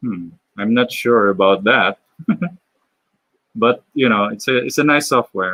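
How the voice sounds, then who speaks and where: Speaking very slowly with a Filipino accent, a man has a bright, sharp tone at medium pitch, and the sound is dry and close with no echo. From Philippines. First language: Tagalog. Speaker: animator and illustrator live streamer. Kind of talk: live stream Q&A while drawing. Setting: live stream. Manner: halting, many fillers.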